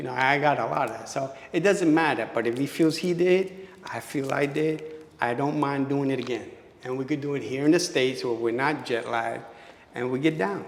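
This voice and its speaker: A man talks at a fairly quick pace with a fairly high pitch and ordinary pitch variation. Noticeable background noise and audible room echo are present. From New York City (Bushwick, Brooklyn). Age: 60s. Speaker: dancer. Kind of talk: interview. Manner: animated.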